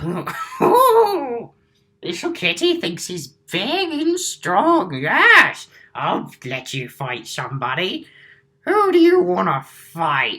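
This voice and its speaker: A put-on character voice at a high pitch and a very slow pace. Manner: gruff, condescending.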